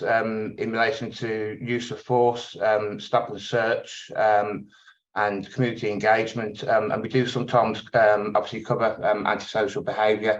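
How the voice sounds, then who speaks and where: A man with a Birmingham accent speaks at a medium pitch and a moderate pace. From England, Birmingham. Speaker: tenant organisation chair. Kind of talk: webinar talk. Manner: hesitant, many fillers.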